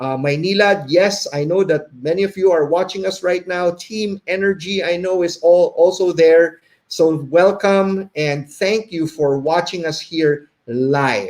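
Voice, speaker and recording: A man speaks with high pitch at a fairly slow pace. His intonation stays fairly even, with hardly any pauses. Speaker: behavior consultant and webinar host. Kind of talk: live webinar presentation. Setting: live stream. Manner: slight stutter, stumbling.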